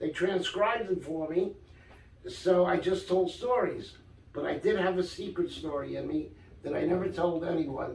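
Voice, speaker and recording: In a New York accent, a man talks at a moderate pace with a high pitch and ordinary pitch variation, and the room echo is audible. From New York, Brooklyn. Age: 60s. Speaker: author and storyteller. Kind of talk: casual interview. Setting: in a shop.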